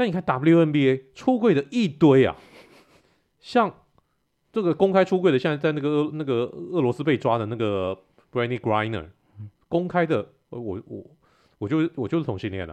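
A man talks at a moderate pace in a fairly high pitch. His pitch swings very widely, and he takes long, frequent pauses. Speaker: podcast host. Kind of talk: casual chat.

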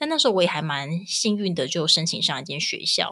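A woman talks at a very fast pace in a fairly low pitch with an animated, bright, sharp tone and ordinary pitch variation, on a very clean recording with a silent background. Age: 30s. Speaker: podcast co-host, mother. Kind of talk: casual chat. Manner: animated, frequent laughter.

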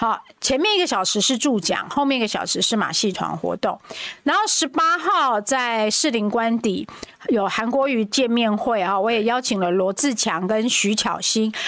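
Over noticeable background noise, a woman speaks at a moderate pace with fairly high pitch and lively intonation. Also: very even loudness. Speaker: parliamentary candidate. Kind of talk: casual chat.

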